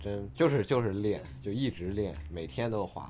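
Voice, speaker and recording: It's an unremarkable speaking voice: a man at a fairly low pitch, with ordinary pitch variation, at a moderate pace. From Jinan, Shandong, China. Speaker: sponsored skateboarder. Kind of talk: casual interview chat.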